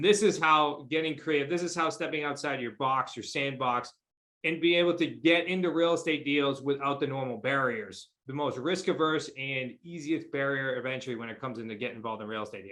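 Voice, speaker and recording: This man speaks at a fairly quick pace with hardly any pauses. His pitch is fairly high, with ordinary variation. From New England. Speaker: real estate investor. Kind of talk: interview. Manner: fast.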